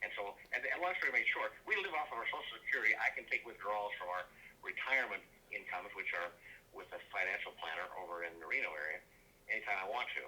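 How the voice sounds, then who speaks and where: Noticeable background noise sits under a man who speaks very fast. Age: 80s+. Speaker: home seller. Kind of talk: phone sales call.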